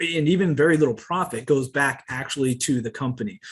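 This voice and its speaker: A somewhat breathy man with an American accent, fairly high in pitch, at a moderate pace. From US Northeast. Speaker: company presenter. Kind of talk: sales pitch.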